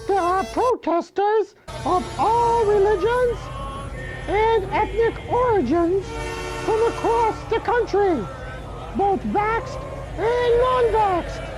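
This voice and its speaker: A put-on character voice, extremely high and excited, at a fairly slow pace with long, frequent pauses, over clear music in the background. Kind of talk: comedic field report. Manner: excited, stammering.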